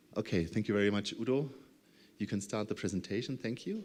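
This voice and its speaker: On a very clean recording with a silent background, a man with a German accent speaks at a fairly low pitch with fairly even intonation. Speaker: project coordinator. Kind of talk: conference presentation. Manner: halting.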